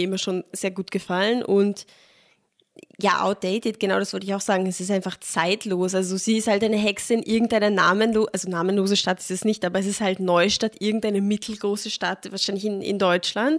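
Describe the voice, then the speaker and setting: A normal speaking voice moves along at a fairly quick pace. The intonation stays fairly even. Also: woman. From Austria, moved from Germany as a small child. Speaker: film podcast co-host. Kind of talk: casual chat.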